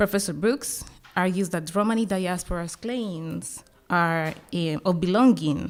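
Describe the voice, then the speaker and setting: In a Colombian accent, a woman talks at a moderate pace with a fairly low pitch and ordinary pitch variation on a very clean recording with a silent background. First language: Spanish. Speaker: academic panel discussant. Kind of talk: conference panel commentary. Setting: conference panel with audience. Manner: halting, with fillers and restarts.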